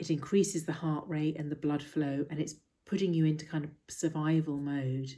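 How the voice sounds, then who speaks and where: A woman's very deep, low pitch and dark, mellow tone, with monotone, flat intonation at a fairly quick pace, on a very clean recording with a silent background. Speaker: mindfulness teacher. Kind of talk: talk to camera explaining mindfulness. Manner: soft-spoken, calm.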